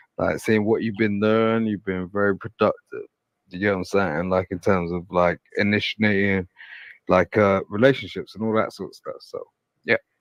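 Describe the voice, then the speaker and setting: A man's fairly low, flat, monotone voice with a British accent at a moderate pace, dry and close with no echo, against a quiet background. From England, London. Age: 40s. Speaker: caller. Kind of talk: casual chat. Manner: halting.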